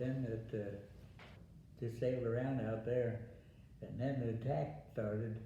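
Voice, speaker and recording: With long, frequent pauses and a fairly slow pace, a man speaks at a medium pitch with ordinary pitch variation, with audible room echo and noticeable background noise. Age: 90s. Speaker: war veteran. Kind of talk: interview. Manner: halting.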